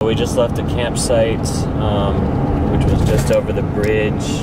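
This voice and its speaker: The speech comes at a very slow pace with ordinary pitch variation, dry with no echo, against loud background noise. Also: man. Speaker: travel vlogger. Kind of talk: casual vlog chat. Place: car.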